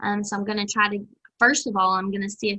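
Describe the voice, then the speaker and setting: A woman with a medium pitch and a bright, sharp tone, in a Southern US accent. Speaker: extension agent running a master gardener program. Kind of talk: video call meeting announcements. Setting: video call.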